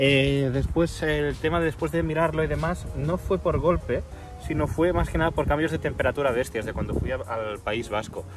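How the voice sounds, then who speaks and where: Over clear background music, a man speaks at a moderate pace in a dry sound with no echo. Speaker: car hobby vlogger. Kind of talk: tutorial. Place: street. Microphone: phone near.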